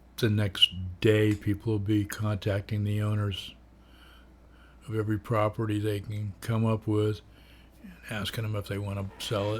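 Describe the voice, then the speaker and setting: On a very clean recording with a silent background, a man with a fairly low pitch speaks in a monotone, flat, somewhat breathy way, with big swings in loudness and long, frequent pauses. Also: moderate pace. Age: 70s. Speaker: vlogger. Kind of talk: casual monologue. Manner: rambling with fillers.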